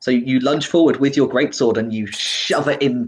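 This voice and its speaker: This man has a British accent and a fairly high pitch. He keeps a moderate pace and ordinary pitch variation. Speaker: dungeon master. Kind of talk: tabletop roleplaying game session, narrating.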